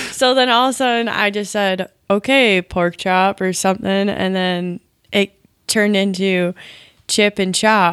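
A woman with an Upper Midwest US accent speaks at a fairly slow pace with fairly even intonation. The recording is very clean with a silent background, dry and close with no echo. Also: medium pitch for a woman. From rural Wisconsin. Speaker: guest, girlfriend of the main guest. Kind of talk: casual chat.

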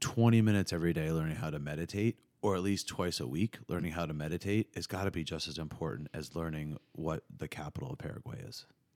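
Here a man speaks with a very deep, low pitch. His pitch varies in an ordinary way. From southern New Jersey. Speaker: yoga teacher and podcast host. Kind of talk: casual interview chat. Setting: studio.

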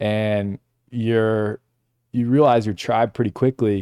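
In an American accent, a man with an unremarkable speaking voice talks at a moderate pace and a fairly low pitch, with fairly even intonation and a dry, close sound with no echo. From Massachusetts, Bedford. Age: 30s. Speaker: film director. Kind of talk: casual chat. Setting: studio.

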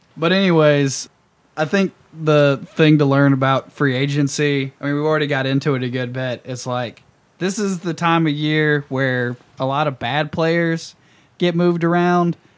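A man with an American accent and a plain, everyday voice speaks at a fairly high pitch with fairly even intonation. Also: moderate pace. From US South. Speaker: podcast host. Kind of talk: casual chat.

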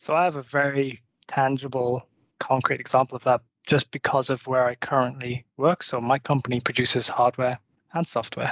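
A man with a Liverpool accent, medium in pitch, delivering a monotone, flat intonation at a moderate pace. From Merseyside, England. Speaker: product manager. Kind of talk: panel discussion.

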